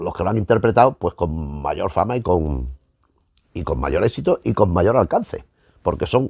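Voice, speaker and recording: A man's voice with vocal fry and very wide pitch swings, in a dry, close sound with no echo. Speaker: film history youtuber. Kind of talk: casual lecture to camera. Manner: fast; halting, repeats words.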